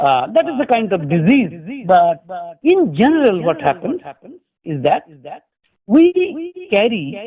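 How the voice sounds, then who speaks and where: A man speaks at a very slow pace with a high pitch. Long, frequent pauses break up his speech. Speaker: professor and spiritual speaker. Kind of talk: religious lecture. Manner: hesitant, with fillers.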